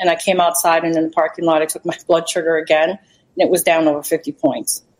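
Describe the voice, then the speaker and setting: Fairly low in pitch, a woman speaks in a plain, everyday voice with fairly even intonation. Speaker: wellness center client. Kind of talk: testimony. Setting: video call from outdoor balcony.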